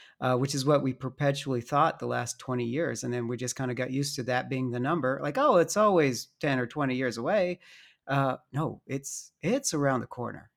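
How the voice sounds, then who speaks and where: On a very clean recording with a silent background, a man speaks in a normal speaking voice with an American accent, medium pitch, ordinary pitch variation and a fairly quick pace. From US South (Dallas, Alabama). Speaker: defense industry worker, caller. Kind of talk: casual chat.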